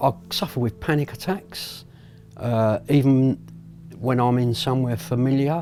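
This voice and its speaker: A man's medium-pitched voice with ordinary pitch variation, music in the background. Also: fairly slow pace. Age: 60s. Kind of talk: interview testimony. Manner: hesitant.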